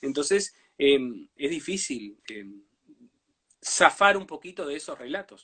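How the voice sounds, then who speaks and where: A fairly high-pitched man's voice, bright and sharp, with lively intonation, a very slow pace, long and frequent pauses, and big swings in loudness. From Uruguay, Brazil border region. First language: Portuñol (speaking Spanish). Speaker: writer. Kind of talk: interview. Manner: halting, many fillers.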